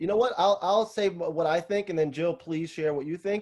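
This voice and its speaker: This man talks with a New York accent in a high pitch. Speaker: salon owner and business consultant. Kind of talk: webinar Q&A. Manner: fast.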